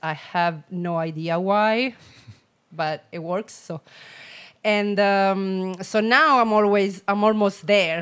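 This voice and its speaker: A woman speaks with an Italian accent at a medium pitch and ordinary pitch variation, on a very clean recording with a silent background. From Italy, Rome. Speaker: personal trainer and boxing coach. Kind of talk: casual chat. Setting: in-person studio. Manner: laughs often.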